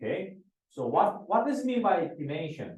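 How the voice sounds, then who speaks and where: Audible room echo surrounds a man whose voice carries vocal fry and very wide pitch swings. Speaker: professor. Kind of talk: lecture. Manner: halting, many fillers and repetitions.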